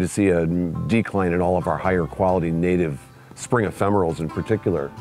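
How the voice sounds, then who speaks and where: A man's very deep, low voice at a fairly quick pace, dry with no echo, with faint music in the background. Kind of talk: interview answer. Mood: warm, concerned about decline. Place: garden. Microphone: lapel.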